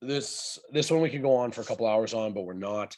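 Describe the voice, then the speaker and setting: Over a quiet background, the speaker moves along at a fairly quick pace. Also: man. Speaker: strength coach answering client questions. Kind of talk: Q&A monologue. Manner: fast.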